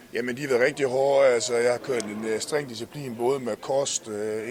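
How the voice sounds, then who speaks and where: A man's fairly slow, fairly evenly intoned speech comes through noticeable background noise. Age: 30s. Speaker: kickboxer. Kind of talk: casual interview.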